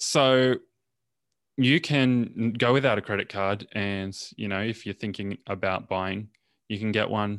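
In a very clean recording with a silent background, a man with an ordinary speaking voice talks at a fairly low pitch with fairly even intonation. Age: 20s. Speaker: podcast co-host. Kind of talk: casual chat.

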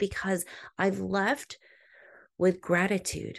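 The speaker has a plain, everyday voice. The pace is fairly slow against a quiet background. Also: woman. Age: 30s. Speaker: podcast host. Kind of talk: inspirational monologue.

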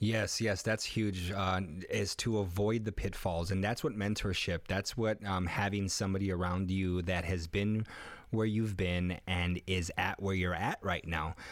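Over a very clean recording with a silent background, a man with an American accent speaks fairly slowly in a very deep, low voice, his intonation flat and monotone and his loudness very even. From US Midwest, west side of Chicago. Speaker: podcast host and life coach. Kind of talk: casual chat. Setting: studio.

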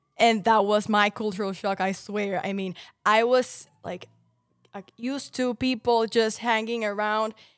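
Music plays behind a woman as she talks. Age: 20s. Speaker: podcast host. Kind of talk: casual chat.

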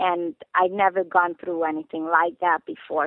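A woman speaks with a fairly low pitch. She has a Hungarian accent. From Hungary. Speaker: trafficking survivor and police trainer. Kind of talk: interview. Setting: phone call.

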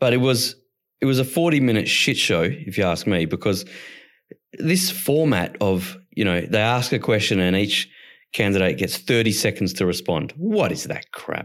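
A man with an Australian accent, medium in pitch, at a moderate pace, with very wide pitch swings. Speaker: podcast co-host. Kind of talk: casual political chat. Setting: online recording platform.

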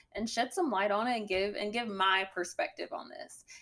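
Speaking at medium pitch, a woman talks in a strong Southern US accent. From Alabama. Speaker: guest, podcast host's girlfriend, essay writer. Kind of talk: casual podcast conversation.

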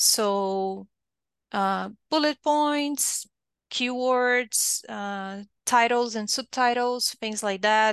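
With a Brazilian accent, a woman talks at a very slow pace in a fairly high pitch with ordinary variation, the sound dry and close with no echo against a quiet background. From southern Brazil. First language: Portuguese. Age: 30s. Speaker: technical writer. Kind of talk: interview.

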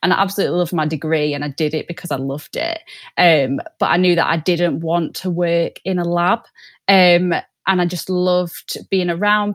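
In a Mancunian accent, a woman speaks with a fairly low pitch and fairly even intonation at a moderate pace. The sound is dry and close with no echo, on a very clean recording with a silent background. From Manchester, northern England. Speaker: sales development rep. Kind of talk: podcast interview.

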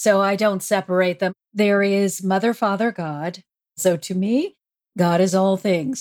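A woman at medium pitch, fairly slow, with a normal speaking voice and a dry, close sound lacking echo. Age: 60s. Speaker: spiritual counselor and author. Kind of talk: interview conversation.

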